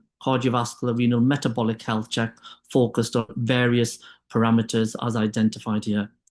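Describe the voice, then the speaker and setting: A man speaks with a British accent over a quiet background. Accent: UK. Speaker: clinician and diabetes expert. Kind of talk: webinar presentation.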